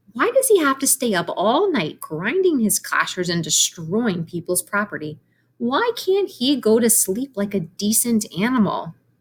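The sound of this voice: A woman uses a put-on character voice, fairly high in pitch with a slightly husky edge. She speaks fairly slowly, her pitch swinging widely.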